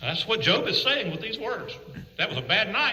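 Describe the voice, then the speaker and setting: Over noticeable background noise and audible room echo, a man talks in a raised, projected voice at a fairly quick pace. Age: 60s. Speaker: preacher. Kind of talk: sermon.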